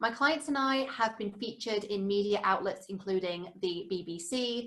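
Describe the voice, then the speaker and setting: A woman speaks in a British accent. Her pace is fairly slow, with ordinary pitch variation. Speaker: publishing and media strategist. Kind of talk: webinar presentation.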